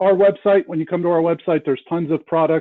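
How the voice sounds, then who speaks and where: The speaker is a man with a high pitch. His intonation stays monotone and flat. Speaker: help desk manager presenting training. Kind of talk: training webinar presentation.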